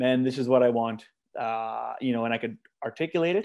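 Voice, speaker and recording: A man's medium-pitched voice in a Canadian prairie accent, moderate pace and ordinary pitch variation, on a very clean recording with a silent background. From Manitoba, Canada. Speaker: singer-songwriter. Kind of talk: casual interview chat.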